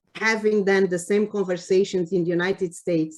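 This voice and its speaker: At a moderate pace and with fairly even intonation, a woman speaks at a medium pitch in a Cape Verdean accent. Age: 60s. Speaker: public health official. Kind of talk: award acceptance speech. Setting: virtual meeting. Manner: halting, many fillers.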